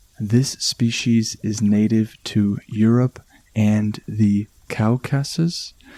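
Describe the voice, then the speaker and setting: A man with a medium pitch speaks at a very slow pace in a calm, soothing, dark and mellow tone. His intonation is fairly even, and the sound is dry and close with no echo. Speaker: podcast host. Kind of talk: relaxation podcast narration.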